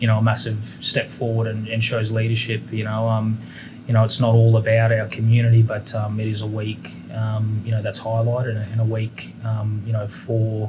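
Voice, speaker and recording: With an Australian accent, a man talks at a moderate pace in a medium pitch, his intonation monotone and flat. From Queensland, Australia. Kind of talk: interview. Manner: halting, many fillers.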